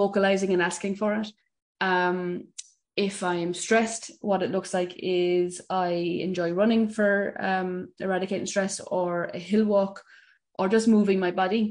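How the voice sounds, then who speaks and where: Over a quiet background, a woman with an Irish accent talks in a monotone, flat intonation. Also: medium pitch for a woman, fairly slow pace. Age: 30s. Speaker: mental health coach. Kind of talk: interview.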